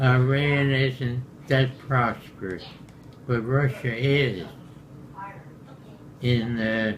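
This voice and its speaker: Noticeable background noise and audible room echo surround a man at medium pitch with fairly even intonation. He speaks at a very slow pace with long, frequent pauses. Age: 100s (80s+). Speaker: war veteran. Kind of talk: casual chat. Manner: halting.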